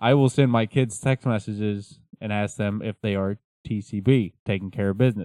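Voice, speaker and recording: A man's fairly low, dark and mellow voice at a moderate pace, with fairly even intonation. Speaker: podcast host. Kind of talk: casual banter, joking chat. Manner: joking, rambling, improvisational.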